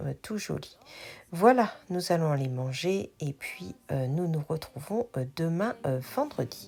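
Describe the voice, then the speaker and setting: A woman's very deep, low voice with a dark, mellow tone, somewhat breathy, at a very slow pace with lively intonation, in a very clean recording with a silent background. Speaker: craft and shop vlogger. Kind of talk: vlog voice-over narration. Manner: slow, searching for words; hesitant, many fillers.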